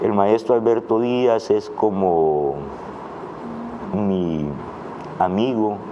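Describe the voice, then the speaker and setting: Noticeable background noise surrounds a man with a fairly low pitch and ordinary pitch variation. He speaks at a very slow pace, with long, frequent pauses. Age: 60s. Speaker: writer and political analyst. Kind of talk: interview.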